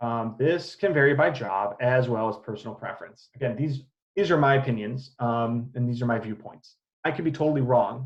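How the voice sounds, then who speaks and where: A somewhat breathy man's voice at a medium pitch, with an American accent. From US Midwest, Illinois. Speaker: assistant professor. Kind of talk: lecture. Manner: fast; hesitant, many fillers.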